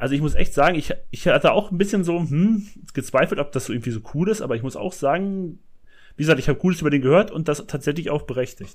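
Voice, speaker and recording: A man talks very fast, his intonation lively. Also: fairly high pitch for a man. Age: 30s. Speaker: podcast co-host, film fan. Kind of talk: casual chat.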